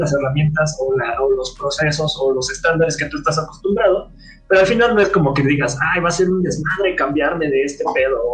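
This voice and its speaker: A man talks very fast, with hardly any pauses, at a high pitch with ordinary variation. Audible room echo is present. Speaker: software developer. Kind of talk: casual chat. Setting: live stream from a home.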